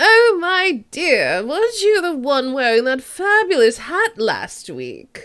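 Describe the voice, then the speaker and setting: A put-on character voice at an extremely high pitch, moving at a fairly slow pace with very wide pitch swings. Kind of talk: fancy. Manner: silly, posh, gossipy.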